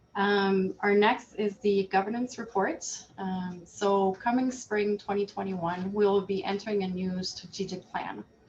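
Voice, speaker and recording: A woman with a Quebec accent speaks at a medium pitch. Her pace is fairly slow, with hardly any pauses. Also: fairly even intonation. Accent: Canadian French-accented English. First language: French. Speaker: board chair. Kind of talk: virtual annual general meeting. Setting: video call.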